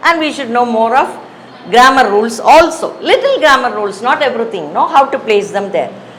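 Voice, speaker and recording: A woman at high pitch with lively intonation, audible room echo and noticeable background noise. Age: 60s. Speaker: English teacher. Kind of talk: lecture. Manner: conversational, hesitant with fillers.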